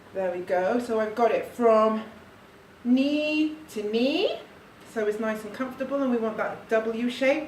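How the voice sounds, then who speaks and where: A woman speaks at a fairly slow pace, her pitch fairly high with ordinary variation. Noticeable background noise and audible room echo surround her voice. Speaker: parent demonstrating baby carrying. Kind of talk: tutorial. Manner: soft-spoken.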